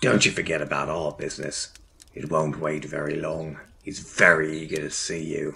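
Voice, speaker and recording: A man's very deep, low voice stays in a monotone, flat intonation. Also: moderate pace. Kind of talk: noir gangster talk. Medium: machinima. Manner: threatening, sneering.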